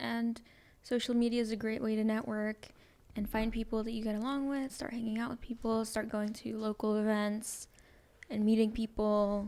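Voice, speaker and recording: A woman talks at a moderate pace in a dark, mellow tone. Her intonation is monotone and flat, with long, frequent pauses. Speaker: singer and rapper, podcast co-host. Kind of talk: casual chat. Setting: studio.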